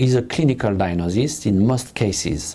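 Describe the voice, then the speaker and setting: Lively intonation marks a man speaking at a moderate pace in a French accent. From France. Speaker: pediatric nephrologist. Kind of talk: lecture. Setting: web conference. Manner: halting.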